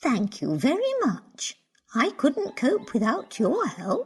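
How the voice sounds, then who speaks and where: A woman's cartoonish character voice, fairly high in pitch and fairly slow in pace. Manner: warm, gentle.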